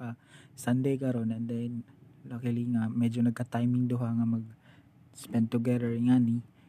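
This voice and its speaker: Delivering his words at a moderate pace, a man uses a medium pitch and a dark, mellow tone. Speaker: podcast host. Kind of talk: casual chat.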